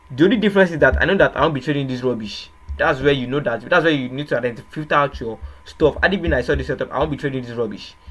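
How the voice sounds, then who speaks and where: A man with a Nigerian accent and a fairly high pitch talks at a very fast pace with ordinary pitch variation. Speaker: trading educator. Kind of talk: tutorial. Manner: hesitant, repetitive.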